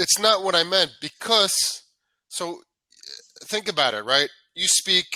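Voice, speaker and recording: With a New York accent and a high pitch, a man speaks in an energetic, bright, sharp tone with lively intonation, keeping a fairly slow pace broken by long, frequent pauses. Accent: New York American English. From New York, US. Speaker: English tutor. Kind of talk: casual chat.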